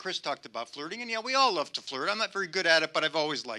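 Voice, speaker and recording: With a raised, projected voice, a man speaks at a high pitch with very wide pitch swings, the sound dry and close with no echo. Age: 70s. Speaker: amateur stand-up comedian. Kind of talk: stand-up. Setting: stage with audience.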